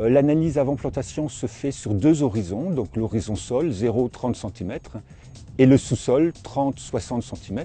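The pace is very slow. The sound is dry with no echo, and faint music plays in the background. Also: man, ordinary pitch variation. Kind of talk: interview explanation. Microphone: lapel.

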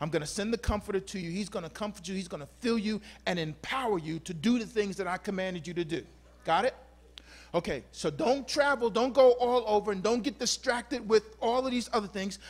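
A man's high-pitched, animated, playful voice at a fairly quick pace, with ordinary pitch variation. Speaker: pastor. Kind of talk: sermon. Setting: church. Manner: warm, exhortative. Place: church. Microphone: handheld.

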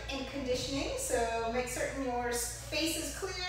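A woman speaks at a moderate pace in strong room echo, with light background noise. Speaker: kickboxing fitness instructor. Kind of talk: tutorial. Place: gym. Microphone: camera far.

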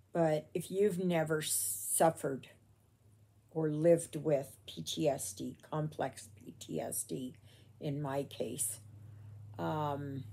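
A woman with a very deep, low pitch and vocal fry speaks at a very slow pace. Her intonation is lively, broken by long, frequent pauses. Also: big swings in loudness. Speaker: crafter vlogger. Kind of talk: casual vlog chat. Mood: reflective, personal. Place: home room. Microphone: phone near.

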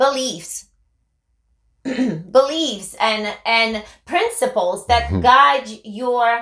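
A woman speaks with a high voice. The room echo is audible, though the background is quiet. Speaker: co-host. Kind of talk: talk show commentary. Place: office.

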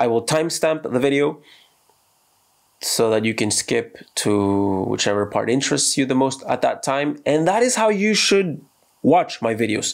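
A man talks at a moderate pace with a fairly high pitch and very wide pitch swings. His loudness stays very even, and the background is quiet. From United States. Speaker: expat vlogger. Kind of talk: casual talk to camera. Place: home room.

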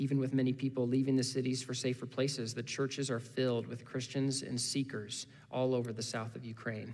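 A man with an American accent at a fairly quick pace, monotone and flat in intonation, with hardly any pauses. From US Midwest (Indiana). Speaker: guest preacher from a missions ministry. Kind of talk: sermon. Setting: church service. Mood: calm, personal, earnest. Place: church. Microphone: headset.

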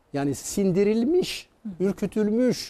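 A man talks with a high pitch and ordinary pitch variation. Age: 70s. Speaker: psychiatrist; guest. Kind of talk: interview. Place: studio.

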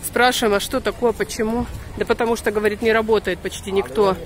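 With crowd noise behind her, a woman speaks at a moderate pace and with ordinary pitch variation, the sound dry with no echo. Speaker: vlogger filming her walk. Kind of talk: casual vlog chat. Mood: annoyed storytelling, wry. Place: street. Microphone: phone near.

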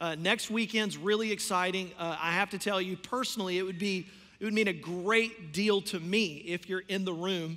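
A man's raised, projected voice at a moderate pace, with fairly even intonation. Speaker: pastor. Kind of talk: church announcements. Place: stage.

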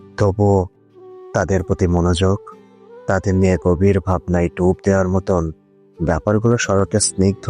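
With music in the background, a man's very deep, low voice keeps fairly even intonation in a dry, close sound with no echo. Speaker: voiceover artist / channel owner. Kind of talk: emotional poetry / spoken word monologue. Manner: reflective, emotional, measured.

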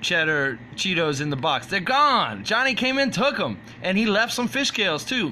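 A man's raised, projected voice over light background noise. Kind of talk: casual vlog chat. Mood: playful, joking. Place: shop. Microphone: phone near.

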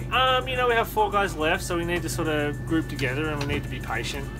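The speech moves at a fairly quick pace, with clear music in the background. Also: man. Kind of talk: interview answer. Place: home room. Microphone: phone near.

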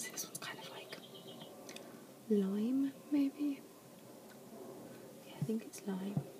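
Whispering and soft-spoken, a woman talks at a very slow pace with long, frequent pauses and big swings in loudness against noticeable background noise. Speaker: ASMR creator. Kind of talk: ASMR whispered talk to camera. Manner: whispered, soft.

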